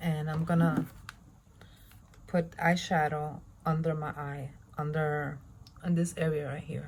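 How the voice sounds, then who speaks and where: Somewhat breathy, a woman speaks at a very deep, low pitch with monotone, flat intonation. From Spanish-speaking country. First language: Spanish. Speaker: beauty vlogger. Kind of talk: tutorial. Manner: casual.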